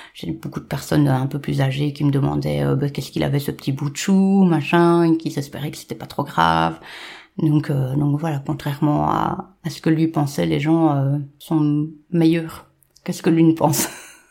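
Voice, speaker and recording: A woman speaks with a dark, mellow tone and fairly even intonation. Her pitch is very deep and low. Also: moderate pace. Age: 40s. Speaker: domestic violence survivor. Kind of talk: testimony. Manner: halting.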